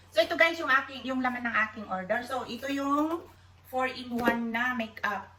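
Her voice is high-pitched, with lively intonation at a fairly slow pace. The woman's recording carries noticeable background noise and audible room echo. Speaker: vlogger. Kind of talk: casual unboxing vlog. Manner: chatty, filler-heavy.

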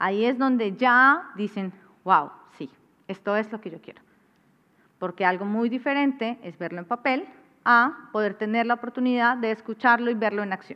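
Against a quiet background, a woman with a fairly high pitch and ordinary pitch variation speaks at a moderate pace, with long, frequent pauses and big swings in loudness. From Colombia. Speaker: cultural manager and artist manager; masterclass lecturer. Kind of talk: masterclass lecture. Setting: classroom with live audience. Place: stage. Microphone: headset.

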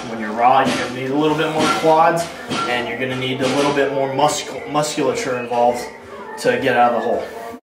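Over clear music in the background, a man talks at a very fast pace with ordinary pitch variation. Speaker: strength coach. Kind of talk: tutorial. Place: gym. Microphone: camera far.

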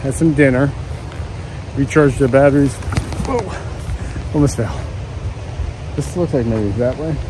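Noticeable background noise sits behind the speaker. He is a man with ordinary pitch variation. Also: moderate pace, dry sound with no echo. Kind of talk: casual vlog chat.

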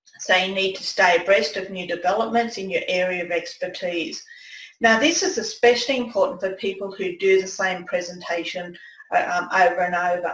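A woman with an Australian accent at a medium pitch, ordinary pitch variation, moderate pace and audible room echo. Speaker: presentation skills coach, former nurse; presentation skills coach. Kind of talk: webinar presentation. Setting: online webinar with screen share. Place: home room.

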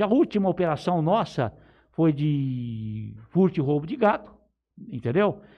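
In a quiet background, a man with fairly high pitch talks at a fairly slow pace. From São Paulo state interior, Brazil. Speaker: police chief. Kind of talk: interview. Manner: halting. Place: studio.

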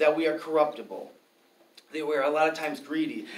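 A man with an American accent speaks at a fairly quick pace, his pitch fairly high with ordinary variation. Audible room echo surrounds the voice. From Milwaukee, Wisconsin; Wisconsin. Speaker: free speech and gun rights activist; debater. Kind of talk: formal debate. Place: classroom. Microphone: camera far.

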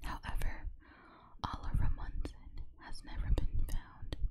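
A whisper at a fairly slow pace. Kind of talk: true crime narration. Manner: whispered.

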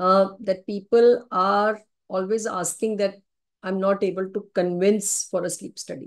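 A woman speaking fairly slowly in a flat monotone against a quiet background. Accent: Indian. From India. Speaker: neurologist and sleep specialist. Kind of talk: webinar lecture. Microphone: video call.

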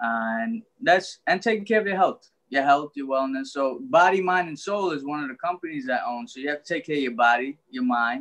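With a New York accent, a man speaks fairly quickly at a fairly high pitch with lively intonation. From Brooklyn, New York (Trinidadian family). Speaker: author and life coach; life coach. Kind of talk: interview. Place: home room. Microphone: video call.

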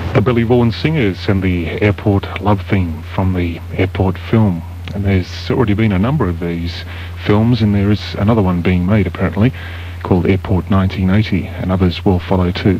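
The speech moves at a fairly quick pace with fairly even intonation. The sound is dry with no echo, and music plays in the background. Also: man, very deep, low pitch for a man. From Australia. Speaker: radio announcer. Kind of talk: radio announcer link between songs. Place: studio. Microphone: old recording.

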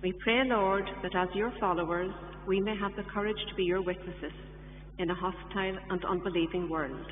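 A woman's solemn voice at a moderate pace, with fairly even intonation and very even loudness, plus audible room echo and light background noise. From Ireland. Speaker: lay reader. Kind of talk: scripture reading and intercessory prayers, fervent. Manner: earnest, solemn, steady, pleading. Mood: solemn, measured. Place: church.

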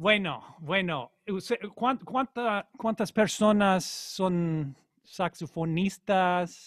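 In an English accent, a man with a high pitch speaks at a very slow pace with ordinary pitch variation. The sound is dry with no echo and the background is quiet. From Colorado, US. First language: English (speaking Spanish). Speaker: jazz saxophonist; saxophone teacher. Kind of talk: online master class; lecture. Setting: video call. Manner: halting, repeats words. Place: home room. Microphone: studio mic.

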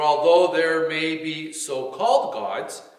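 Against a quiet background with audible room echo, a man speaks at a fairly slow pace. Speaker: church reader or pastor. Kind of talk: scripture reading. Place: church. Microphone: podium.

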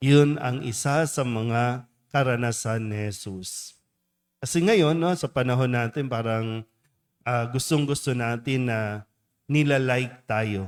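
A man with a plain, everyday voice, medium pitch, ordinary pitch variation and fairly slow pace, in a very clean recording with a silent background. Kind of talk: homily. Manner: conversational, asks audience questions.

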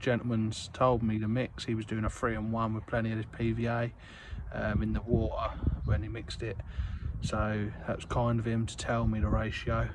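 Speech comes at a moderate pace over loud background noise. The sound is dry, with no echo. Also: man. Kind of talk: casual vlog chat. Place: street. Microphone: phone near.

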